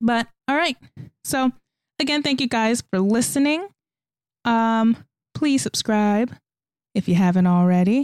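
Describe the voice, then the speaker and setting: Over a silent background in a very clean recording, a woman talks with lively intonation, the sound dry and close with no echo. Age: 20s. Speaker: podcast host. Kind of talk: casual monologue.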